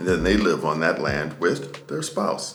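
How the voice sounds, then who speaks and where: Music plays in the background. A man talks over it at a fairly slow pace. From United States. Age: middle-aged. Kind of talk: casual talk to camera.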